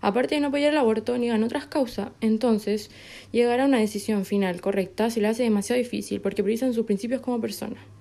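A woman's very fast, fairly high voice with a dark, mellow tone and very even loudness, on a very clean recording with a silent background. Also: ordinary pitch variation. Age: 20s. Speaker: psychology student and activist. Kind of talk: interview.

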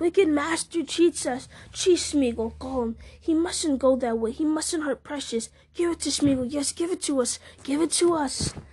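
The speaker uses a put-on character voice at a high pitch, with hissing. The pace is moderate. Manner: wheedling, resentful.

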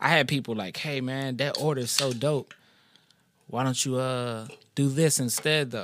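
A man talks at a medium pitch and a moderate pace. His intonation stays fairly even. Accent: Louisiana. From New Orleans, Louisiana. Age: 30s. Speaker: rapper. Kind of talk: casual chat.

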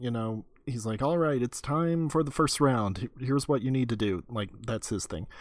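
A man talks at a moderate pace and medium pitch in a plain, everyday voice, with ordinary pitch variation. The recording is very clean with a silent background. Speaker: podcast co-host. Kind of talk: casual chat.

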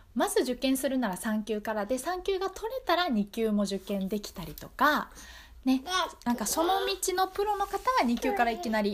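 The pitch swings very widely at a moderate pace. Noticeable background noise can be heard. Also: woman. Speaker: community radio host. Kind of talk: casual radio talk show.

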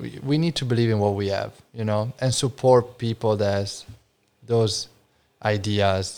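A man with an Italian accent and fairly even intonation, on a very clean recording with a silent background. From Friuli, Italy. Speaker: wine importer, business owner. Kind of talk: casual chat. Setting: informal studio, live on an audio app.

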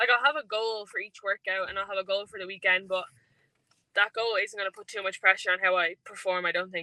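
A woman in an Irish accent, medium in pitch and fairly quick, with fairly even intonation and big swings in loudness. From Ireland. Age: 20s. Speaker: athlete. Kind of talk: interview. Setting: in a car.

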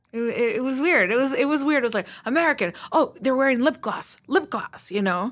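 With a slight Mexican accent, a woman speaks at a high pitch and a fairly quick pace, with hardly any pauses. Her tone is animated and her intonation lively, on a very clean recording with a silent background. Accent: light Mexican Spanish accent in English. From Mexico. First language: Spanish. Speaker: TV writer and producer. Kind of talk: interview.

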